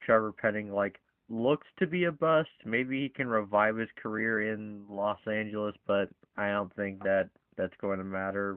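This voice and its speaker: At a moderate pace, a man speaks with a plain, everyday voice and a fairly low pitch. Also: ordinary pitch variation. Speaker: sports podcast host. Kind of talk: casual sports discussion.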